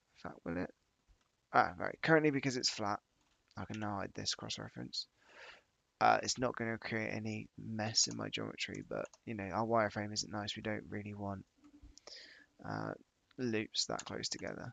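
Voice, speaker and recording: A man talks at a moderate pace. His speech has long, frequent pauses. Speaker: 3D modeling streamer. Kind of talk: live tutorial stream narration. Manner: quiet; casual, hesitant.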